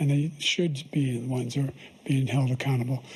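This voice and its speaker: A man speaks fairly quickly in a fairly high pitch, somewhat breathy. His tone is dark and mellow, his intonation monotone and flat. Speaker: president. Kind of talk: debate answers.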